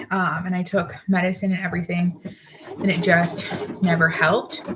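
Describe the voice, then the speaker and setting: Over noticeable background noise, a woman speaks in a flat, monotone way. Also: moderate pace. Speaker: crafter and seamstress. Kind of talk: casual live work-along.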